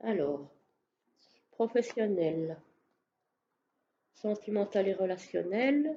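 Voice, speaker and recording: A very slow pace broken by long, frequent pauses. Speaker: tarot reader. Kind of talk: tarot reading. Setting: on camera, video recording. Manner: hesitant, many fillers.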